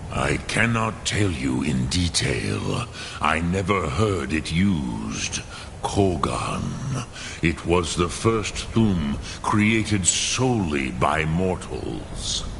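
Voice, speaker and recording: Amid loud background noise, a man uses a put-on character voice with a very deep, low pitch at a very slow pace. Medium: video game. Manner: slow, measured, solemn.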